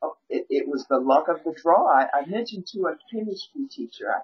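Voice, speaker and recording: At a fairly quick pace, a woman speaks with an American accent. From Milwaukee, Wisconsin, US Midwest. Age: 50s. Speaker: vegan chef and coach. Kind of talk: interview.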